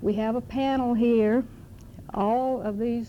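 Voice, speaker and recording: A woman with a Southern US accent, fairly high in pitch, with a dark, mellow tone, fairly even intonation and audible room echo. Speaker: adoption reform activist, panel moderator. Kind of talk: conference panel introduction. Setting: conference room with audience. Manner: hesitant, many fillers.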